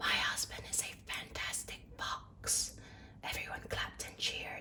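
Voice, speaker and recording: Whispered speech is heard against noticeable background noise. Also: woman. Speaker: ASMR content creator. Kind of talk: ASMR book reading. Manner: whispered, soft.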